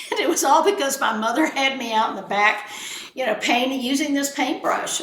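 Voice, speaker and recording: Delivered at a fairly quick pace with an American accent, the speech carries audible room echo and noticeable background noise. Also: woman. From South Texas. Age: 70s. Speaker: art appraiser. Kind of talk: casual chat. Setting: at her home.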